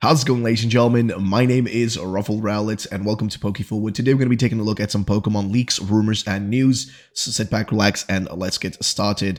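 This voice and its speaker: With fairly even intonation, a man speaks very fast. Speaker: gaming YouTuber. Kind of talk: news roundup commentary. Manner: quiet, low volume; casual with fillers.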